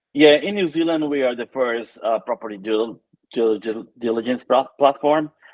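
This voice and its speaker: A man speaks with a Brazilian accent at a medium pitch, his pitch varying in an ordinary way. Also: moderate pace. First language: Portuguese. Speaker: tech entrepreneur. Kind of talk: interview.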